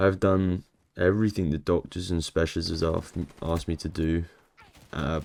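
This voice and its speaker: In a very clean recording with a silent background, a man speaks at a moderate pace in a very deep, low, monotone voice. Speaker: video blogger. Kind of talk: vlog monologue.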